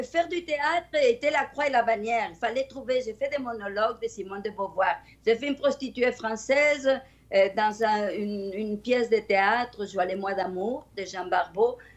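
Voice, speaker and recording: A woman talks at a moderate pace in a Spanish accent. Her fairly high voice has ordinary pitch variation. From Spain. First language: Spanish (speaking French). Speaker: storyteller. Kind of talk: interview.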